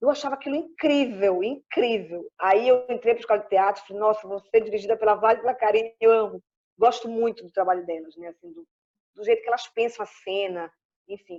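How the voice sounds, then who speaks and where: Talking at a fairly quick pace, a woman with a fairly high voice shows ordinary pitch variation and big swings in loudness. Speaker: actress and clown. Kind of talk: interview. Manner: animated. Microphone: phone connection, poor internet.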